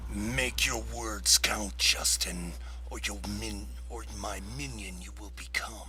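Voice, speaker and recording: A man puts on a character voice and speaks at a fairly slow pace over clear background noise. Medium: role play.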